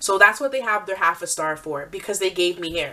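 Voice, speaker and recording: Noticeable background noise behind a woman at medium pitch, talking at a fairly quick pace. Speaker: beauty vlogger. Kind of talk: product review. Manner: fast; rambling.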